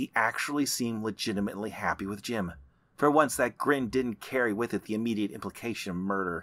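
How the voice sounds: What we hear is a natural reading voice.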